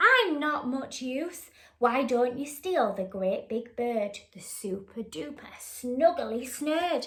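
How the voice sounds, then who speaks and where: A woman speaks in a put-on character voice, high in pitch and very slow. There are hardly any pauses, and hissing can be heard. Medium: read story.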